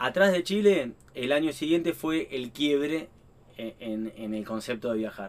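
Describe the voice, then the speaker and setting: At a fairly slow pace, a man with an Argentine accent talks in a fairly high pitch with lively intonation. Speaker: traveling family vlogger. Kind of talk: casual interview chat.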